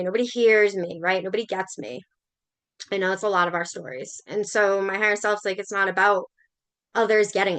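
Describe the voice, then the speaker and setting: A woman speaks in a Massachusetts accent. Her tone is bright and sharp. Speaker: spiritual coach and shamanic practitioner. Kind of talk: livestream talk to viewers. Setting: Facebook live stream. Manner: casual, conversational with fillers.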